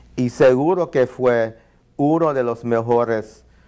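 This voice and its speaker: A man talks very slowly in a dark, mellow tone over a quiet background. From New York. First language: English (speaking Spanish). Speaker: ethnomusicologist and saxophonist; guest. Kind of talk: interview. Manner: halting. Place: studio. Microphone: lapel.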